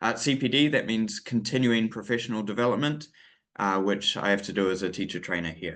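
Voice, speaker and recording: Over a quiet background, a man with a New Zealand accent talks at a fairly quick pace, fairly low in pitch, with ordinary pitch variation. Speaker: English teacher trainer. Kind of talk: webinar lecture. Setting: online webinar. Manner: hesitant, many fillers.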